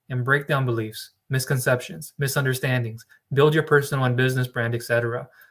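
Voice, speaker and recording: At a fairly quick pace, a man talks at medium pitch with fairly even intonation in an unremarkable speaking voice. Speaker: business loan broker trainer. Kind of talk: live training webinar.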